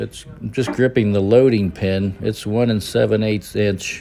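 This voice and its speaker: A man speaks at a fairly low pitch and a moderate pace. Noticeable background noise sits behind him. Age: 60s. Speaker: fitness vlogger. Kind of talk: workout video narration. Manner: casual, with hesitations.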